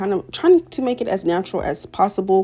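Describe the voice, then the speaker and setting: A woman talks rather briskly. Behind her, music is playing. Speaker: hair and wig tutorial creator. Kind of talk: tutorial. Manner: casual, chatty voiceover.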